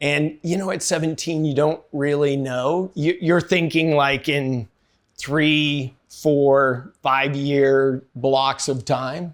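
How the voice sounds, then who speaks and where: With an American accent, a man speaks at a very slow pace with fairly even intonation in a very clean recording with a silent background. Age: 60s. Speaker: army veteran and entrepreneur. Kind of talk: interview. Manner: casual, hesitant with fillers.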